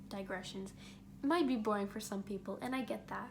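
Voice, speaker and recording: The speaker is a woman. She talks at a medium pitch. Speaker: student vlogger. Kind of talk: casual monologue. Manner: animated, some stumbling.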